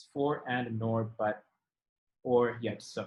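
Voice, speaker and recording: His pitch is medium. The man sounds somewhat breathy. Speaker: tutor teaching test prep class. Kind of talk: online class lecture. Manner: fast.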